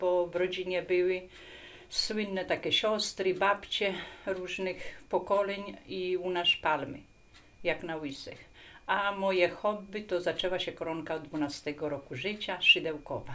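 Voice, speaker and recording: At a very slow pace, a woman speaks in a bright, sharp tone at a medium pitch. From Poland, Kurpie region. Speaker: folk artist, lacemaker. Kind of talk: interview testimony. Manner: casual, hesitant with fillers.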